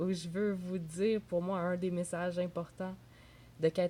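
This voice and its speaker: Speaking fairly slowly with a Quebec accent, a woman has a fairly low, somewhat breathy voice with a dark, mellow tone. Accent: Québécois French. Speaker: entrepreneur and video blogger. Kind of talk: casual vlog monologue. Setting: at home in a bathrobe.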